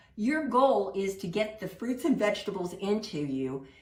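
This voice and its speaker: A woman speaks at a moderate pace with a fairly high pitch and very wide pitch swings. Room echo is audible, along with noticeable background noise. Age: 60s. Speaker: plant-based cooking instructor. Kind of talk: cooking class presentation. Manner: animated.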